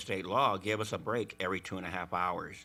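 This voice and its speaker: At a fairly quick pace, the voice has a bright, sharp tone in a very clean recording with a silent background. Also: man. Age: 60s. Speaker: warehouse worker. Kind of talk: testimony. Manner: halting.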